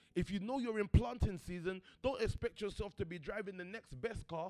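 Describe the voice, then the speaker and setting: Over music in the background, a man talks in a high voice with ordinary pitch variation. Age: 30s. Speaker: pastor / motivational speaker. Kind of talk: sermon. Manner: conversational, informal.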